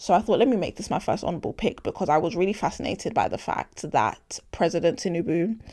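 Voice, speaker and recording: A woman with a London accent, fairly low in pitch, with lively intonation at a fairly quick pace, in a very clean recording with a silent background. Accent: London, multicultural London English. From London (Hackney), British Nigerian. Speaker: podcast host. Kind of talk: casual opinion monologue. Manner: animated.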